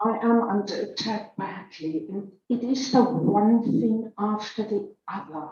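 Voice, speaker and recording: Speaking very slowly, a woman with a South African accent has a fairly high pitch and ordinary pitch variation. Her voice is somewhat breathy, with a dark, mellow tone. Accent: Afrikaans-accented English. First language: Afrikaans. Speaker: church member giving testimony. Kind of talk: testimony. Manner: halting.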